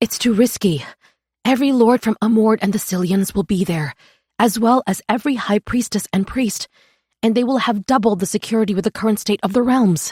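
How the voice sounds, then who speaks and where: Putting on a shaky, anxious character voice, a female-sounding speaker talks at a fairly high pitch and a fairly quick pace. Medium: read story. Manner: soft, shaky, anxious.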